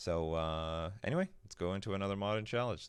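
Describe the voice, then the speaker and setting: A man speaks at a moderate pace. His pitch is fairly low and the recording is quiet. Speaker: gaming streamer. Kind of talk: gameplay commentary. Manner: quiet voice.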